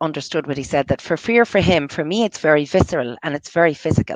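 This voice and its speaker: With an American accent, a woman speaks at a very deep, low pitch in a dry, close recording with no echo. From US, New York. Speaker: entrepreneur, bookkeeper. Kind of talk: casual interview chat. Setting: live video show. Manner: halting, many fillers and restarts.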